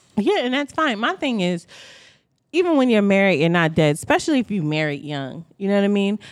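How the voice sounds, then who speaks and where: Loud and at a fairly quick pace, a woman with medium pitch makes very wide pitch swings on a very clean recording with a silent background. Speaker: podcast co-host. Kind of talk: casual chat.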